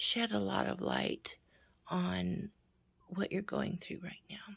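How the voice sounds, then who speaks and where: A woman whispers at a very slow pace. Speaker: youtuber. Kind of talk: direct-to-camera personal message. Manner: whispering; halting, many fillers.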